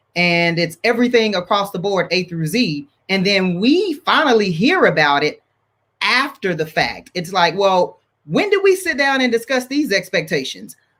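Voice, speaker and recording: A loud man's voice, high in pitch, with lively intonation at a moderate pace. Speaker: marriage ministry leader. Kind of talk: panel discussion. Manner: high energy.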